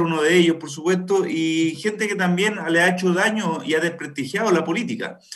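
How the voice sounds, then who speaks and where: Against noticeable background noise, a man talks at a high pitch and moderate pace with ordinary pitch variation. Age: 30s. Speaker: political candidate. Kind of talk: radio interview.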